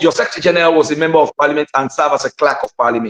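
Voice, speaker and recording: With a dry, close sound and no echo, a man is speaking. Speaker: opposition politician. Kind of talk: heated debate. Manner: animated; halting.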